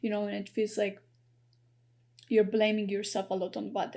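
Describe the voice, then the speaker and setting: The voice has a dark, mellow tone. Its intonation is monotone and flat. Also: woman. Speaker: tarot reader. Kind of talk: psychic tarot reading to camera. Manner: halting, stuttering with many fillers.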